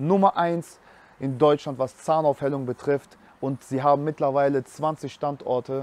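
A man talks at a moderate pace with a slightly mellow tone. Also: medium pitch for a man, fairly even intonation.

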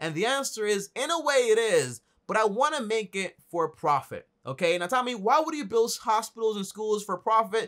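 Against a quiet background, a man with a high pitch talks with hardly any pauses. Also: lively intonation, moderate pace. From Dominican Republic. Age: 20s. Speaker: YouTuber on personal finance. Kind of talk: vlog monologue. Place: home room.

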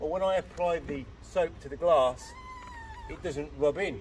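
A man talks at a fairly slow pace, his pitch varying in an ordinary way, while light background noise sits behind him. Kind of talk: on-the-job tutorial. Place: street. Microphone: camera far.

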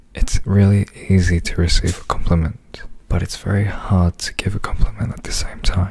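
A man whispering at a moderate pace. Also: big swings in loudness. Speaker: pop idol doing ASMR. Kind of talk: ASMR radio-style talk. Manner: whispered. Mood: calm, smiling. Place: home room. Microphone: studio mic.

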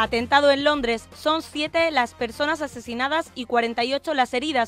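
Fairly even intonation at a moderate pace, with music in the background. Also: woman. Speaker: broadcasting student. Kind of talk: radio news headlines.

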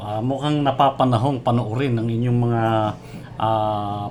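A man speaks in a plain, everyday voice, keeping a moderate pace and ordinary pitch variation. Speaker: online show host. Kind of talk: interview.

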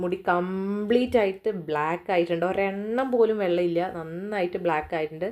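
Using a normal speaking voice, this woman stays at a medium pitch and shows ordinary pitch variation. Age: 30s. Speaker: beauty vlogger. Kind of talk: tutorial. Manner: casual.

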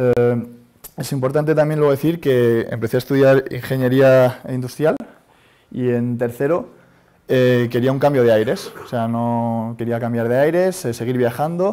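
A man talks at a moderate pace in a dark, mellow tone. His pitch varies in an ordinary way, and the background is quiet. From Spain. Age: 30s. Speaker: startup founder. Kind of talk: talk to audience. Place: classroom.

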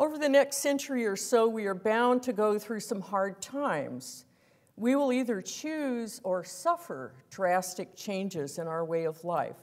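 With a quiet background, a woman talks at a fairly slow pace. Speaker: guest lecturer. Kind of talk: lecture read from a prepared text. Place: hall. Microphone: lapel.

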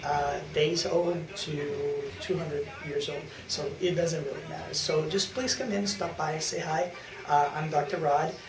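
Slow-ish and fairly high-pitched, a man's voice comes through. Background noise is noticeable. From Brazil (Rio de Janeiro). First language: Portuguese. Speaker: chiropractor. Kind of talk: clinic introduction video. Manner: halting, many fillers. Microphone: camera far.

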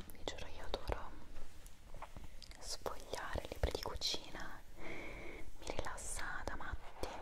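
Long, frequent pauses break up a woman's speech, delivered at a very slow pace. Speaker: ASMR creator. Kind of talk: ASMR video. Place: home room. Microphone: earbuds.

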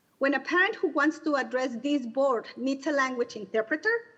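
A woman's high voice with a Spanish accent, lively intonation and a moderate pace. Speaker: community member, parent advocate. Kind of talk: public comment.

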